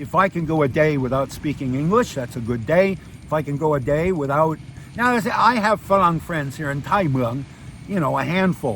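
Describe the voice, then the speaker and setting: With lively intonation and a fairly high pitch, a man talks at a moderate pace against noticeable background noise. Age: 60s. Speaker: retired expat vlogger. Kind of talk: casual monologue vlog. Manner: animated.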